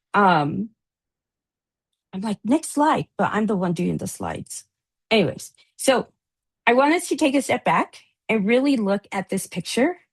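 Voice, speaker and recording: Against a quiet background, a woman with a fairly high, somewhat breathy voice and very wide pitch swings speaks with long, frequent pauses, in a dry, close sound with no echo. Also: moderate pace. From US, daughter of Latin American immigrants. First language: Spanish. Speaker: addiction recovery advocate, briefing panelist. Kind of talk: panel presentation.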